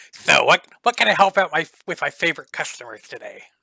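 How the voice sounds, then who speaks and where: At a fairly quick pace, a man does a high-pitched, put-on character voice. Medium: actual play. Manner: eager, friendly.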